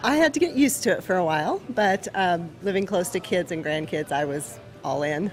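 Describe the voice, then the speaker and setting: A woman with an American accent, medium-pitched, with very wide pitch swings and a fairly quick pace. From Nebraska. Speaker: bakery owner. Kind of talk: interview.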